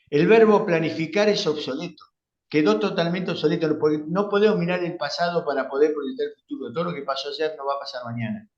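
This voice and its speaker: With audible room echo around it, the voice moves at a moderate pace with lively intonation. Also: man. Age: 70s. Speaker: conference moderator. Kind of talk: post-lecture discussion. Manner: hesitant, many fillers.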